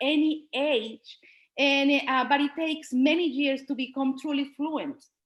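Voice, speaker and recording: A woman speaks at a high pitch in a Spanish accent. Her pace is very slow. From Colombia. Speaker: Spanish teacher. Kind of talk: presentation at an online school board meeting. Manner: halting, with fillers.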